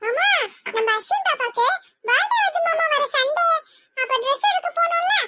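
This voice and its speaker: A squeaky, cartoonish character voice from a woman, extremely high in pitch, at a moderate pace. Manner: lively, chatty.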